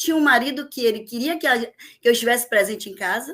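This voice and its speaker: A woman speaks very fast in a high voice, with ordinary pitch variation. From Bahia, Brazil (Vitória da Conquista, then Salvador). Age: 60s. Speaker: teacher. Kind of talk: podcast interview.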